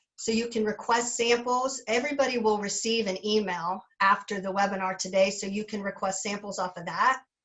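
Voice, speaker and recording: A woman speaks in an ordinary speaking voice at a medium pitch. Her pace is moderate and her intonation fairly even. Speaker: sales representative. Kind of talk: sales webinar presentation. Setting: webinar.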